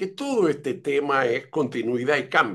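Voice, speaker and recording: The pitch swings very widely over a fairly slow pace. The background is quiet. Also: man. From Uruguay. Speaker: education expert, pedagogue. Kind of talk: interview conversation. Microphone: video call.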